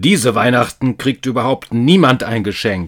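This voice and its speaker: Growling in a put-on character voice, the speaker delivers an angry tone at a moderate pace. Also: man. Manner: growling, angry.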